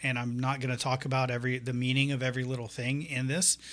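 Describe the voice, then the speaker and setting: A man with an American accent in a very clean recording with a silent background. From US South, north Florida. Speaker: 3D artist and teacher. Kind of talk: tutorial. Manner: soft-spoken, not loud; hesitant, many fillers.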